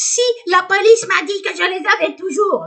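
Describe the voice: Putting on a character voice, a female-sounding speaker talks at a moderate pace with extremely high pitch.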